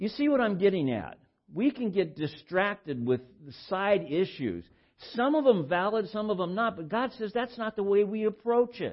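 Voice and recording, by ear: The speech keeps a moderate pace. Its intonation is lively. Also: man.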